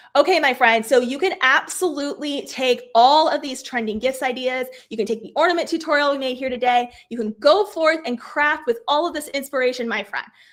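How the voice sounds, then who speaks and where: At a fairly quick pace with hardly any pauses, a woman speaks in a high pitch, with ordinary pitch variation and big swings in loudness. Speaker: craft teacher. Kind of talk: live craft workshop. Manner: animated.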